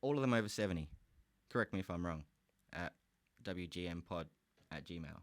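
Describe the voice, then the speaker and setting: A man with a very deep, low pitch, a fairly quick pace, an animated tone and long, frequent pauses. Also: ordinary pitch variation. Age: 30s. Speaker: podcast host. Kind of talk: casual solo podcast rant.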